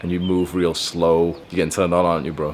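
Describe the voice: A man puts on a character voice, resonant and very deep in pitch. He talks at a very fast pace with a monotone, flat intonation.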